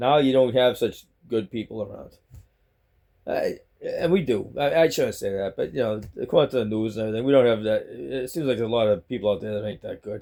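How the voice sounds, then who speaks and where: A man at a fairly quick pace, with a Boston accent. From Boston, Massachusetts. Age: 60s. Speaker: vlogger. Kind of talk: casual monologue vlog. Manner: rambling, halting with repetitions.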